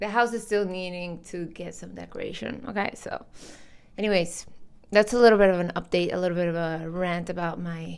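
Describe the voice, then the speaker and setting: Speaking with a non-native accent, a woman keeps a moderate pace and fairly even intonation. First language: not English. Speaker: commentary vlogger. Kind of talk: opinion vlog. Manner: casual, conversational.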